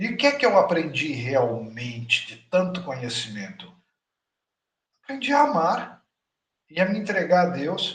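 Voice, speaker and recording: A man's high voice with very wide pitch swings, big swings in loudness, long, frequent pauses and a fairly slow pace. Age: 60s. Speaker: spiritual teacher. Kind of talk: lecture. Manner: animated.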